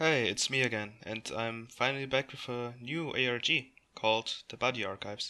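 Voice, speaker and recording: A man with a non-native accent, bright and sharp in tone, at a moderate pace with fairly even intonation. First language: not English. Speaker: YouTuber reacting to online mystery videos. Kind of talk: casual commentary and reading aloud.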